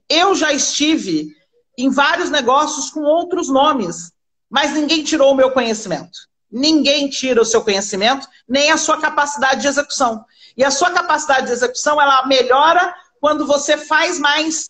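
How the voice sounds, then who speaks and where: Moderate pace and ordinary pitch variation in a woman's high voice. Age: 40s. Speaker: fashion entrepreneur. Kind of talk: live-stream interview. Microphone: unstable connection.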